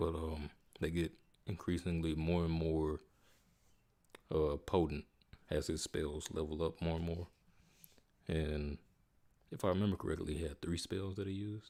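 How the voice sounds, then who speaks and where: A man's very deep, low voice, dark and mellow, with a relaxed tone, monotone, flat intonation, a moderate pace and long, frequent pauses. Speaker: gaming streamer. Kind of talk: casual live stream commentary. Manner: relaxed, casual.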